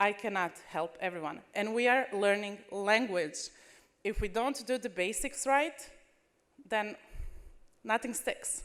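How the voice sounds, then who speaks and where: A woman with a non-native accent speaks at a fairly slow pace, using a fairly high pitch, lively intonation, and long, frequent pauses. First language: not English. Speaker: language teacher. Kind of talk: conference presentation.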